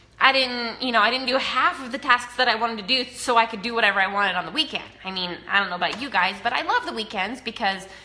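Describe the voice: A woman with an American accent speaks at a fairly high pitch and fairly quick pace, her tone bright and sharp. Her pitch varies in an ordinary way, and room echo is audible.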